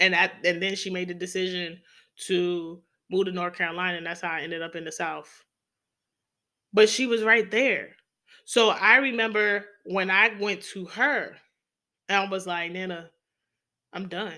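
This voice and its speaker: A woman's medium-pitched voice, bright, sharp and animated, with big swings in loudness and long, frequent pauses, in a very clean recording with a silent background. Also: moderate pace. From New York City. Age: 30s. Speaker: podcast host. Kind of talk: casual monologue.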